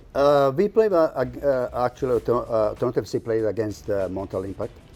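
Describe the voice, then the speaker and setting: A man talks at a very fast pace with a medium pitch and lively intonation. Music plays in the background. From Croatia. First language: Croatian. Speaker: soccer club representative. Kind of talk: TV interview. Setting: TV studio. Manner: halting, many fillers.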